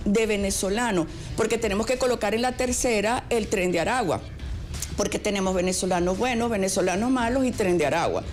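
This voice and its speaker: A woman with a fairly high pitch speaks in a room with audible echo while music plays in the background. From Venezuela. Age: 60s. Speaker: radio host. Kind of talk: panel discussion.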